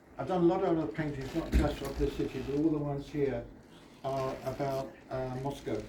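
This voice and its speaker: A man with a British accent, fairly high in pitch, at a fairly quick pace with fairly even intonation, plus noticeable background noise and audible room echo. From Britain. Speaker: artist. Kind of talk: exhibition opening speech. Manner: halting.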